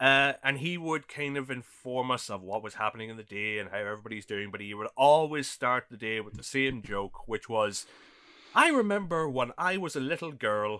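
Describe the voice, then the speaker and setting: A man with an Irish accent speaks at a moderate pace, his tone bright and sharp and his intonation lively. The recording is very clean with a silent background, and his loudness swings widely. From Ireland. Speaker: podcast co-host. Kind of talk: casual chat.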